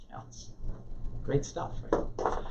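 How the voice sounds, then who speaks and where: A man speaks fairly slowly, and audible room echo colors the recording. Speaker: Bible class teacher. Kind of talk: lecture. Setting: classroom with live audience, also streamed. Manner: soft-spoken, voice drops; halting. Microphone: too quiet for back of room.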